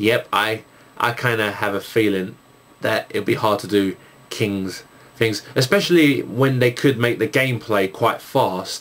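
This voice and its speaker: Fairly slow speech in a Cockney accent, with ordinary pitch variation. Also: man, medium pitch for a man. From England, East London. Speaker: YouTuber, gamer and music producer. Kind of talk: video Q&A, casual chat. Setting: recording at home at night with night shot camera. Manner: halting, many fillers.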